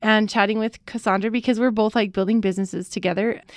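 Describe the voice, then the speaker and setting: Against a quiet background, a woman with a medium pitch speaks at a very fast pace. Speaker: doula and educator, podcast co-host. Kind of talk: casual chat, anniversary episode. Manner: fast talker when excited.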